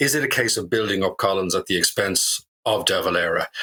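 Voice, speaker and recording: Speaking at a moderate pace, a man talks in an Irish accent. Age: 40s. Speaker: history professor. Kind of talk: panel discussion.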